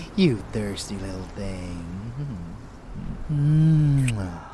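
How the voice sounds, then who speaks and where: Using a put-on character voice, a man speaks in an amused tone at medium pitch. Clear background noise can be heard. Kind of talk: ASMR dark romance roleplay. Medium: audio drama. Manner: seductive, teasing, amused.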